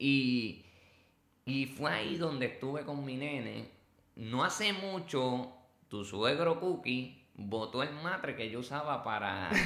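There is audible room echo around a man speaking with a Puerto Rican accent. His medium-pitched voice moves very slowly with lively intonation. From Puerto Rico. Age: 30s. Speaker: former inmate turned preacher. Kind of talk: testimony.

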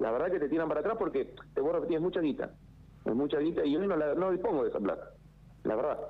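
A man talks at a very fast pace. His loudness stays very even throughout. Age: 40s. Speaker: builder. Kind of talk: phone interview. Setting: phone call. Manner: halting.

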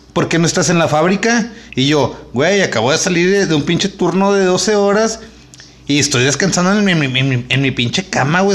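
Over noticeable background noise, a man talks at a moderate pace in a high voice, his loudness very even throughout. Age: 30s. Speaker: podcast co-host. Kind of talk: casual chat.

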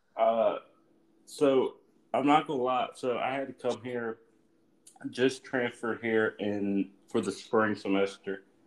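Pausing long and often, a man speaks at a very slow pace in a medium pitch with fairly even intonation. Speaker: college baseball player. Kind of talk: casual chat.

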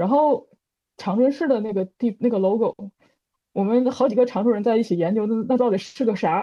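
With a normal speaking voice, a woman talks at a fairly quick pace and fairly high pitch, with ordinary pitch variation. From Northeast China, Changchun. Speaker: bird illustrator. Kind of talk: casual chat.

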